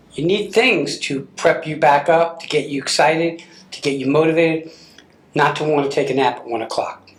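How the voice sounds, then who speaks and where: A man talks at a moderate pace with a fairly high pitch, ordinary pitch variation and big swings in loudness, over noticeable background noise. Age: 60s. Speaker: TV show host. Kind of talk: interview.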